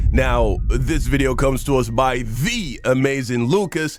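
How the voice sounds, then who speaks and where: Over background music, a man speaks at a very slow pace. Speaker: reaction video host. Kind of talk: casual chat.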